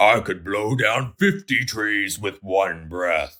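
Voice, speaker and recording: A man does a booming, rumbling put-on character voice, fairly low in pitch and at a very slow pace. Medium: read story. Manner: boastful, loud.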